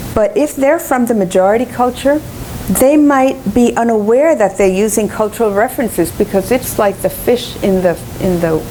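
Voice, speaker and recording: Over noticeable background noise, a woman talks at a moderate pace, her pitch swinging very widely. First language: Spanish. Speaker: education professor and researcher. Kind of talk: lecture.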